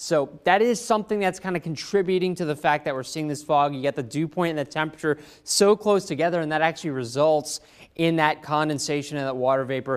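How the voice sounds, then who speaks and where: Against a quiet background, a man speaks at a very fast pace with ordinary pitch variation. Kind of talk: weather forecast presentation. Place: studio. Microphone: lapel.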